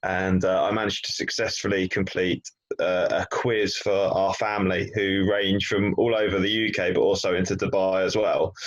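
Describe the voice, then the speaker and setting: This man has an English accent. He barely pauses at all. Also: moderate pace, very even loudness. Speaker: business training podcast co-presenter. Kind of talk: casual chat.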